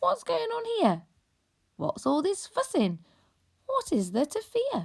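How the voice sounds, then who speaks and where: Someone puts on a squeaky, high-pitched character voice and speaks at a fairly slow pace. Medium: read story.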